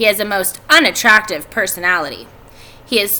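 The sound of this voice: Just an unforced reading voice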